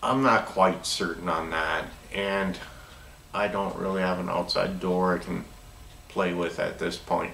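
Audible room echo and light background noise surround a man with an American accent, his pitch very deep and low. He speaks at a fairly slow pace with fairly even intonation and long, frequent pauses. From US Upper Midwest (northern Minnesota). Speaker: product demonstrator for door openers; product reviewer. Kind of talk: product demo tutorial. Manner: casual, conversational with self-corrections. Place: workshop. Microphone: camera far.

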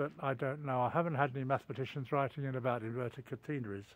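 The sound is dry with no echo as a man talks with ordinary pitch variation. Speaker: walking vlogger. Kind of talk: casual vlog chat. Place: forest. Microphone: phone near.

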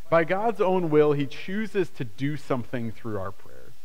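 This man talks at a fairly slow pace, his voice pitched fairly high. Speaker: pastor. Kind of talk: sermon; prayer. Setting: church service with screen. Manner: conversational and animated, with a casual tone; earnest, with repetition for emphasis. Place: church.

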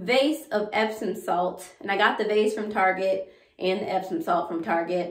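A woman speaks at a moderate pace with ordinary pitch variation. Audible room echo surrounds her voice. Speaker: home decor vlogger. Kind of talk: casual vlog chat. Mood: relaxed and pleased. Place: bathroom.

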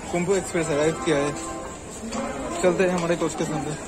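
Fairly slow speech with ordinary pitch variation over clear music in the background. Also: man. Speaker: travel vlogger. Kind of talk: casual vlog chat. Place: station. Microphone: phone near.

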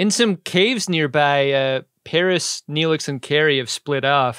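In a very clean recording with a silent background and a dry, close sound free of echo, a man talks fairly slowly in an unremarkable speaking voice, his pitch fairly high with ordinary variation. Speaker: podcast co-host. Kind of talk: casual chat.

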